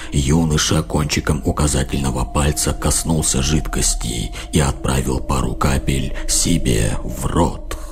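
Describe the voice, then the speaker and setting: A man speaks in a put-on character voice at a moderate pace. Loud background noise fills the recording. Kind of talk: horror narration. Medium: read story. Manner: measured, dark.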